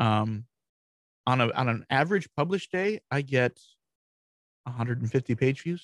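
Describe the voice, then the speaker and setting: At a fairly slow pace with long, frequent pauses, a man with an American accent speaks at a medium pitch and lively intonation. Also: dry, close sound with no echo. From Michigan, US Midwest. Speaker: WordPress strategist and blog founder. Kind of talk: casual interview.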